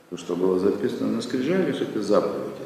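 Recorded with audible room echo and noticeable background noise, a man speaks. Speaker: rabbi teaching Torah classes. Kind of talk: lecture.

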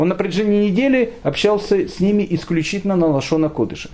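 A man with a dark, mellow tone and lively intonation at a moderate pace. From Ukraine, Kyiv. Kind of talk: lecture. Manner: hesitant, with frequent fillers.

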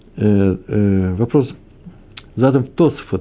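Medium in pitch, a man's voice carries ordinary pitch variation. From Moscow / Kyiv. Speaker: religious teacher. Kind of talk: lecture. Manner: hesitant, with fillers.

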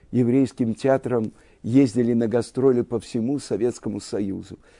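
Against a quiet background, a man at medium pitch speaks with a dark, mellow tone. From Russia, Moscow. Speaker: religious teacher. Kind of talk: lecture.

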